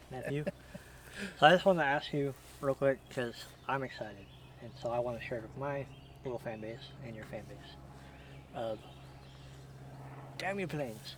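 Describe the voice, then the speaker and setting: A quiet, mumbling man at medium pitch, moderate pace, ordinary pitch variation, big swings in loudness, and long, frequent pauses. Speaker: outdoor hunting channel host. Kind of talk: casual interview chat. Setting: outdoors at a shooting range.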